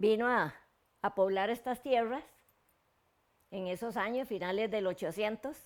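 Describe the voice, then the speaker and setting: The recording is very clean and the background is silent. A woman talks, her pitch varying in an ordinary way. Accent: Costa Rican. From Costa Rica, Turrialba area. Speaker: local elder recounting community history. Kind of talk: oral history interview. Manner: halting, with repetitions and fillers.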